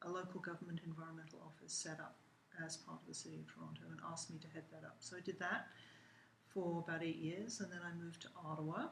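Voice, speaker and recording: Very fast and flat in a monotone, a woman talks with an English accent at a fairly low pitch. The room echo is audible. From England. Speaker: university lecturer. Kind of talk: interview. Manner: hesitant, many fillers.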